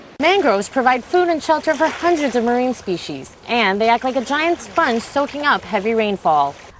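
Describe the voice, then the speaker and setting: Over noticeable background noise, a woman speaks at a moderate pace and high pitch with very wide pitch swings, hardly any pauses and very even loudness. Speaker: television reporter. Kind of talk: TV news report.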